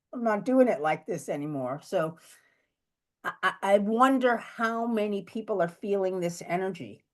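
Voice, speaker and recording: A woman with a medium-pitched, ordinary speaking voice talks with lively intonation. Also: moderate pace, quiet background. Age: 60s. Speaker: astrologer. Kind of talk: casual chat.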